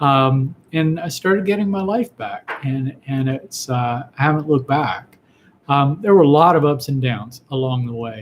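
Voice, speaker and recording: Using lively intonation, a man speaks at a moderate pace with a fairly high pitch. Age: 60s. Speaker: physician answering viewer questions. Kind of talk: live Q&A broadcast. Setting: live online video stream. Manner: halting, frequent fillers and repetitions.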